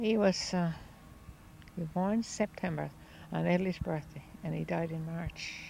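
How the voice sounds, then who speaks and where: A woman speaks with a Newfoundland accent. She takes long, frequent pauses. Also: moderate pace. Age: 80s+. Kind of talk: interview answer. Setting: outdoors.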